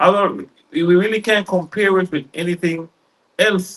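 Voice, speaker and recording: A man speaks at a moderate pace in a high pitch, his intonation fairly even. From Belize, Hopkins and Dangriga. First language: Garifuna. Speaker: radio and TV founder. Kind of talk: interview conversation. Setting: studio.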